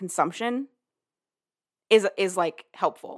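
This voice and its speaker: A woman speaks at a moderate pace in an animated tone, her pitch fairly high. The sound is dry and close, with no echo. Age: 20s. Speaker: podcast host. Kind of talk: casual chat.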